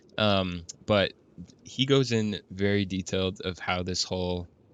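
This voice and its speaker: A man's mumbling at a fairly low pitch. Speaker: gaming video creator. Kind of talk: gameplay commentary. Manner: casual, hesitant with fillers.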